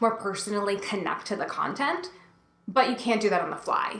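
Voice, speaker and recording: A woman speaks fairly quickly, with audible room echo and noticeable background noise around her. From New Jersey. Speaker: instructional design coach. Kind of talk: tutorial. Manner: fast; sometimes mumbles.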